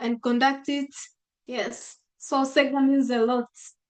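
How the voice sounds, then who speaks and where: A woman's high-pitched voice in a monotone, flat intonation. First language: local mother tongue, then Swahili. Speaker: school graduate. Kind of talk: webinar testimony.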